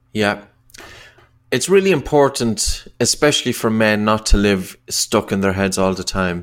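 At a fairly slow pace, a man with an Irish accent speaks in a fairly low pitch with ordinary pitch variation. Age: 40s. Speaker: breathing coach and author. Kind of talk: interview.

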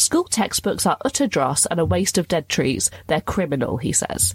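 A woman with a British accent talks at a moderate pace, her pitch fairly low. Her voice is somewhat breathy. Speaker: podcast host, also radio presenter. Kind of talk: casual chat, comedy podcast.

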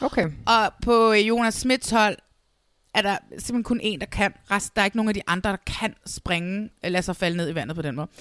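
A normal speaking voice from a woman, moderately paced and with ordinary pitch variation. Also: medium pitch for a woman, dry, close sound with no echo. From Denmark, South Zealand (Næstved). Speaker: podcast host. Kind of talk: casual chat. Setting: video call.

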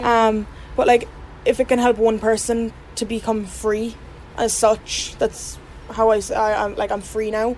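With a Cork accent, a woman speaks fairly slowly in a fairly high, monotone, flat voice over noticeable background noise. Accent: Cork Irish. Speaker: abuse survivor. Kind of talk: testimony.

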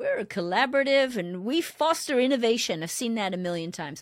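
On a very clean recording with a silent background, a woman talks at a fairly quick pace in a fairly high, animated voice full of very wide pitch swings. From South Wales. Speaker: automotive leadership consultant. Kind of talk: interview conversation.

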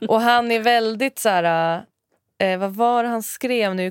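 A woman with a plain, everyday voice, fairly high in pitch with ordinary pitch variation, in a very clean, dry, close recording with a silent background and no echo. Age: 30s. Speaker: developer intern, podcast host's sister. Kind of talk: casual chat. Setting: studio.

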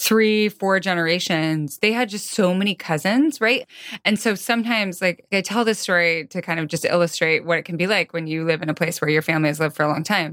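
In an ordinary speaking voice, a woman with an American accent talks at a fairly quick pace with hardly any pauses, at a fairly low pitch with ordinary pitch variation. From small-town US. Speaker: podcast host. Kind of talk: interview.

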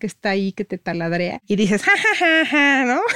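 With very wide pitch swings, a woman speaks at a moderate pace in a dry, close sound with no echo. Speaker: photographer. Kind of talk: interview.

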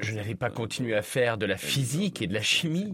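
A man's medium-pitched voice makes very wide pitch swings at a moderate pace. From Senegal, Dakar. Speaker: chef. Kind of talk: interview.

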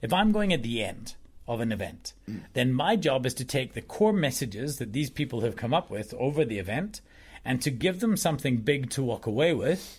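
In a very clean recording with a silent background, a somewhat breathy man talks at a moderate pace with lively intonation. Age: 40s. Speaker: presentation consultant. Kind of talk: casual chat.

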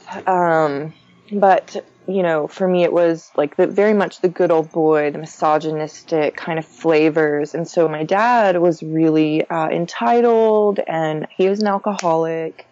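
This is an ordinary speaking voice. The pitch varies in an ordinary way. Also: woman, fairly low pitch for a woman, fairly slow pace. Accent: American. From Texas, Conroe north of Houston. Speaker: astrologer and spiritual guide. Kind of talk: interview.

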